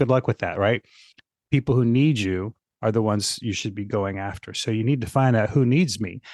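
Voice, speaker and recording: An unremarkable speaking voice, a man's, comes at a fairly quick pace and medium pitch with ordinary pitch variation, against a quiet background in a dry, close sound with no echo. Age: 60s. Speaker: fitness marketing consultant. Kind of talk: podcast interview.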